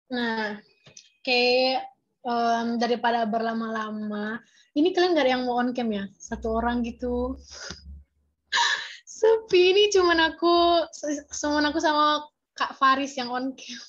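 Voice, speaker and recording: Against a quiet background, a woman speaks fairly slowly at a high pitch with lively intonation. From Medan, North Sumatra, Indonesia. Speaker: peer tutor. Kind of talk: online class tutorial. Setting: video call. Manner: casual, chatty.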